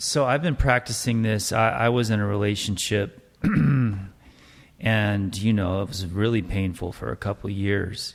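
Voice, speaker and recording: A man speaks at a moderate pace. His pitch is fairly low, with ordinary pitch variation. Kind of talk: casual chat. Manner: soft-spoken.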